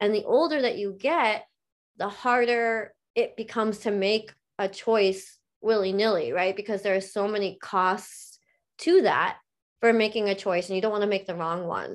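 A woman with a plain, everyday voice speaks at a fairly high pitch and moderate pace. Her pitch variation is ordinary, and the background is quiet. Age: 30s. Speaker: coaching client. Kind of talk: coaching session.

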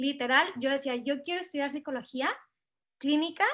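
A woman's high voice is heard on a very clean recording over a silent background. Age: 20s. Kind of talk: testimony.

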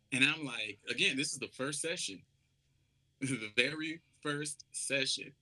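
With a South Carolina accent, a man speaks fairly slowly in a fairly high pitch and a bright, sharp tone, leaving long, frequent pauses. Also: ordinary pitch variation. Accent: Southern US (South Carolina). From US South, Charleston, South Carolina. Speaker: R&B soul singer. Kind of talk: casual interview chat.

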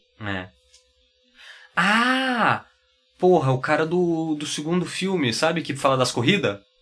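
A man's fairly high, bright, sharp voice with very wide pitch swings, a very slow pace, and long, frequent pauses. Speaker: podcast co-host. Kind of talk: casual chat.

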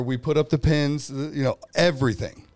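A man with an unremarkable speaking voice on a very clean recording with a silent background. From California, Bay Area. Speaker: sports podcast co-host. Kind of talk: casual chat.

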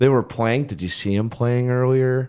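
This man has an unremarkable speaking voice with medium pitch and fairly even intonation. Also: very clean recording, silent background. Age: 30s. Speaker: podcast co-host. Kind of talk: casual chat.

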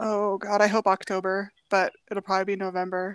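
A woman with an ordinary speaking voice talks at medium pitch and a moderate pace with fairly even intonation, the sound dry and close with no echo. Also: very clean recording, silent background. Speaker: author guest. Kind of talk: casual chat.

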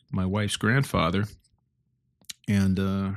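With a Midwestern American accent, a man talks at a moderate pace in a fairly low voice, the sound dry and close with no echo on a very clean recording with a silent background. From north central Illinois. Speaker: podcast host. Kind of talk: solo reflective monologue. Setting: at home early morning. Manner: halting, many fillers.

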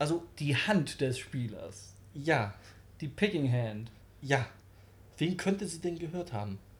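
The voice is somewhat breathy and swings very widely in pitch. It moves at a very slow pace with long, frequent pauses. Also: man, fairly high pitch for a man. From Germany, Wolfsburg. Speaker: metal podcast host. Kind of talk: casual chat.

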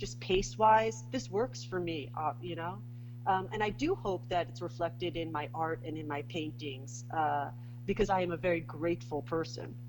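A woman with a New York accent, very deep and low in pitch, at a moderate pace with lively intonation. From Bronx, New York. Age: 40s. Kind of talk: casual interview chat.

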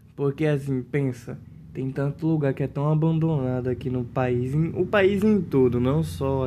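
There is noticeable background noise as a man speaks at medium pitch with ordinary pitch variation. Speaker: podcast guest. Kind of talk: casual chat. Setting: lying on living room floor at home.

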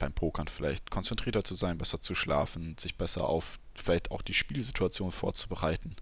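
A man's voice shows ordinary pitch variation on a very clean recording with a silent background. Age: 20s. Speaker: podcast host, student. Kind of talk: solo podcast monologue. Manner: casual, with frequent fillers.

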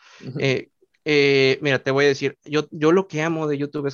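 With a Mexican accent, a man talks at a fairly high pitch. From Mexico. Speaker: youtuber. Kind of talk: casual chat.

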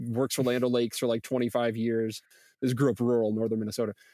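A man with a normal speaking voice at a fairly quick pace, recorded dry and close with no echo. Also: very clean recording, silent background. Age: 40s. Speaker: research institute director. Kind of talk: casual interview chat.

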